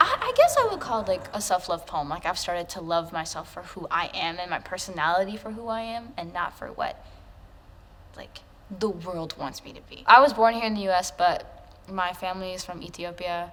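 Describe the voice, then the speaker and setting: A woman with an American accent speaks at a fairly quick pace in an unremarkable speaking voice. Her pitch varies in an ordinary way, and her loudness swings a lot. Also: medium pitch for a woman. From US, Chicago. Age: 20s. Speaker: poet. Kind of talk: interview. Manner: casual, filler-heavy.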